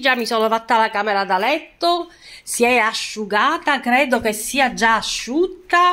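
A woman speaks at a moderate pace with a high pitch. The background is quiet. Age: 60s. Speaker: lifestyle vlogger. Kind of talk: casual vlog talk to viewers. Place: home room. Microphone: phone near.

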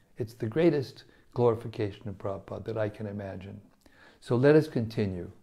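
A man's dark, mellow, somewhat breathy voice at a fairly quick pace, with ordinary pitch variation and a quiet background. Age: 70s. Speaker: spiritual teacher. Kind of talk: scripture reading with commentary. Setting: studio. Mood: devotional, warm. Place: home room. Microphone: lapel.

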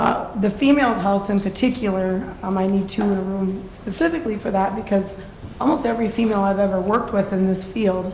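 Speaking at a fairly quick pace, a woman uses a medium pitch with ordinary variation, amid noticeable background noise and audible room echo. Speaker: sober housing program operator. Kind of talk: public testimony at city council meeting. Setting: city council meeting. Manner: loud.

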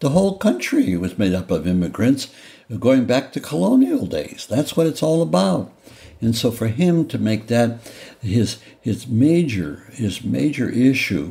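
Speaking at a fairly slow pace, a man with a dark, mellow tone of medium pitch shows vocal fry and very wide pitch swings. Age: 80s+. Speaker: former senator, presidential candidate. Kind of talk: interview answer.

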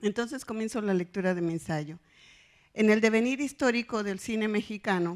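A woman's fairly high voice at a moderate pace, with ordinary pitch variation over a quiet background. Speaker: professor; conference presenter. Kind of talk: academic conference talk. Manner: serious, formal. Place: hall.

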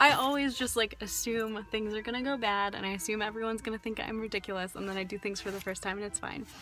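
A woman talks at a very fast pace over faint background music, the sound dry with no echo. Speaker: vlogger. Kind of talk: casual vlog chat. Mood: relieved, cheerful, laughing. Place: car. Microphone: phone near.

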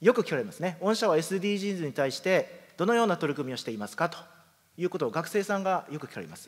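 Talking at a very fast pace, a man with a high voice uses lively intonation and big swings in loudness. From Kumamoto, Japan (Yatsushiro); Kumamoto, Japan. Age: 30s. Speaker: company president. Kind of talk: presentation. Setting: stage with audience. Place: hall.

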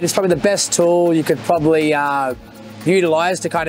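The speech moves at a fairly quick pace. The sound is dry with no echo, and faint music plays behind it. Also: man. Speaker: skydiving tunnel coach. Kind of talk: interview answer. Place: hall.

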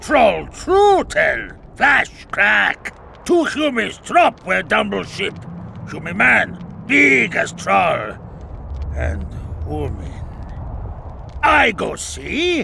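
Using a put-on character voice, a man speaks at a very slow pace with long, frequent pauses over clear background noise. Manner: broken pidgin speech, simple-minded.

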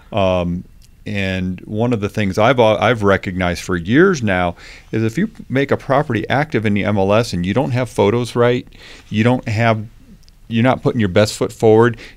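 This is an ordinary speaking voice from a man with a fairly low pitch. He talks at a moderate pace with ordinary pitch variation. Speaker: guest. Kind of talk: interview answer. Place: studio. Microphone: studio mic.

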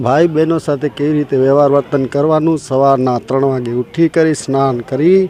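A man with a fairly high voice talks while noticeable background noise carries on. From Kutch, Gujarat. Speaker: religious devotee. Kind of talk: interview statement.

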